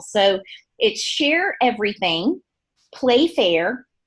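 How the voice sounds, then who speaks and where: A woman's lively intonation with a slight Southern US accent. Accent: slight Southern twang. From US South, Gulf Coast of Alabama. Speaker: beauty products trainer. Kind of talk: training presentation. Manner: animated.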